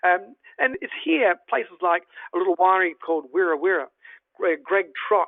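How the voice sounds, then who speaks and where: The pace is fairly quick, with an Australian accent. Pitch variation is ordinary. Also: man. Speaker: travel presenter. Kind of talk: virtual tour presentation. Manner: animated; halting.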